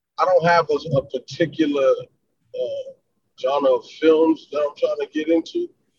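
Speaking fairly slowly with a New York accent, a man is heard in a dry, close recording with no echo. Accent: northern US (New York). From South Florida, born in New York. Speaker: rapper. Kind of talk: casual interview chat.

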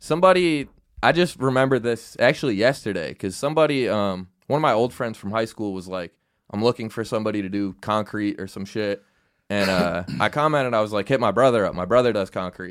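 An ordinary speaking voice: a man with an American accent, fairly low pitch, lively intonation and a fairly quick pace, on a very clean recording with a silent background. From upstate New York, near Syracuse. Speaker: comedian. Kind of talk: casual chat.

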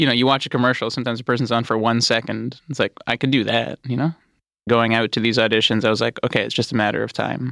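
A man talks very fast at a medium pitch, with a bright, sharp tone, vocal fry and fairly even intonation. The sound is dry and close with no echo, on a very clean recording with a silent background. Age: 20s. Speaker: stand-up comedian. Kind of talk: casual chat.

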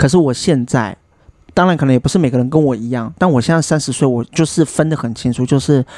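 The voice moves at a very fast pace, dark and mellow in tone, with ordinary pitch variation. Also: man, medium pitch for a man. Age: 30s. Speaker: podcast host. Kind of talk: casual chat.

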